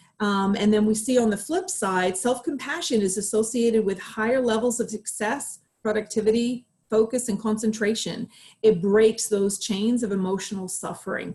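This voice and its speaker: Her tone is dark and mellow, somewhat breathy. This woman keeps a moderate pace with ordinary pitch variation. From Australia. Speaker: clinical psychologist. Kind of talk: presentation.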